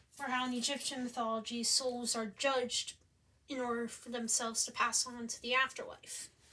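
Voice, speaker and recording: The voice holds a monotone, flat intonation at a moderate pace, with noticeable background noise. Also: woman, high pitch for a woman. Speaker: student presenting a game concept. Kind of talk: presentation.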